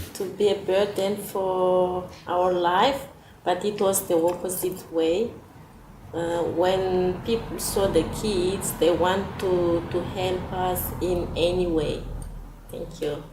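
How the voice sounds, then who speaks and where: A woman with a non-native accent and a medium pitch speaks very slowly in a monotone, flat way, with audible room echo and noticeable background noise. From Madagascar. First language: not English. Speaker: migrant mother. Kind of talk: interview. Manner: halting.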